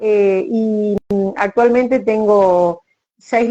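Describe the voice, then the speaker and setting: The speaker is a woman at a medium pitch. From Argentina. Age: 60s. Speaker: writer, retired teacher. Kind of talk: casual interview chat.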